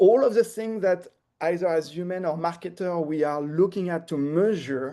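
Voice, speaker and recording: A man with a French accent speaks fairly slowly, his high-pitched voice carrying a dark, mellow tone. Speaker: marketing technology expert. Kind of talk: webinar presentation. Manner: hesitant, with fillers and repetitions.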